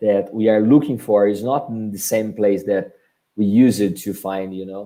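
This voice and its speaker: The speaker is a man with a Portuguese accent. His voice has a dark, mellow tone. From Brazil. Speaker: marketing agency director. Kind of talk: webinar presentation and Q&A. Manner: halting.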